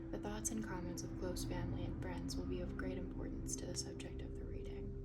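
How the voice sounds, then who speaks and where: Soft-spoken and at a fairly quick pace, the voice comes through noticeable background noise. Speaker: tarot reader. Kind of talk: tarot reading.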